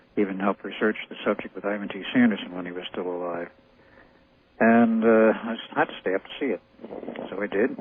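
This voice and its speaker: Over noticeable background noise, a man with fairly low pitch speaks at a fairly quick pace with fairly even intonation and long, frequent pauses. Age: 60s. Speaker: interviewee on paranormal claims. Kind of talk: radio interview. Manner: halting.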